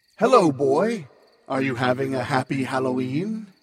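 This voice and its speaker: This man puts on a character voice at a medium pitch. He moves at a moderate pace. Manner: oddly friendly.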